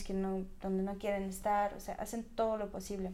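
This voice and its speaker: At a moderate pace, a woman speaks in a medium pitch, with audible room echo. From Russia, small ethnic republic. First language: a minority language of Russia (speaking Spanish). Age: 20s. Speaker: Russian language teacher. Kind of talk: interview. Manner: hesitant, many fillers.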